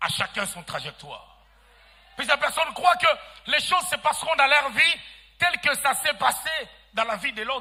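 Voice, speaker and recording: A man speaks at a moderate pace with an extremely high pitch. His intonation is lively and his tone bright and sharp. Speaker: pastor. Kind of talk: sermon. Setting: church. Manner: soft-spoken.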